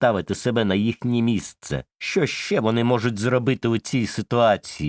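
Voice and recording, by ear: Over a quiet background, this is reading aloud in a natural voice with fairly even intonation.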